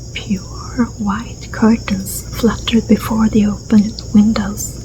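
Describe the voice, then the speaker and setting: Whispering and soft-spoken, the voice moves at a very slow pace. Noticeable background noise sits underneath. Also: woman. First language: Swedish. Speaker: ASMR storyteller. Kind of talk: reading aloud; casual chat. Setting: garden.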